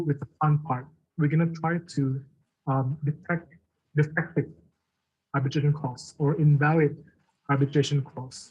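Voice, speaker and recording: Somewhat breathy, this voice keeps a fairly even intonation. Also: man. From Indonesia. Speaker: arbitration law lecturer. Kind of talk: lecture.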